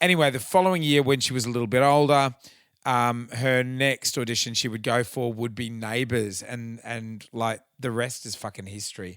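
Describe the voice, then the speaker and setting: A man with an Australian accent speaks at a fairly quick pace with fairly even intonation. The recording is very clean, with a silent background. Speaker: podcast host and tribute band singer. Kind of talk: casual chat.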